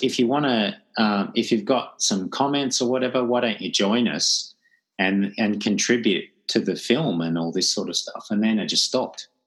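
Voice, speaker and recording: A man talks at a moderate pace in a plain, everyday voice. His pitch sits in the medium range and his intonation is lively. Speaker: podcast host. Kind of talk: casual chat.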